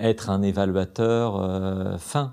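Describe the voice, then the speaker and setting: A man speaks in a fairly low voice against a quiet background. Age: 40s. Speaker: judge. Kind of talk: interview.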